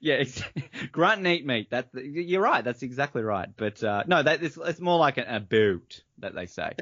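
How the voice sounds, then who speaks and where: A man with an Australian accent, fairly high pitch and very wide pitch swings. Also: moderate pace. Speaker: podcaster. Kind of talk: casual chat.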